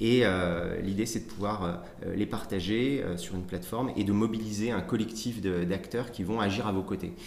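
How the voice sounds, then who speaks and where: A man's fairly low voice at a moderate pace, ordinary pitch variation, audible room echo and music in the background. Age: 30s. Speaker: political party staff member. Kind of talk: interview. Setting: party headquarters office. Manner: halting, many repetitions and fillers.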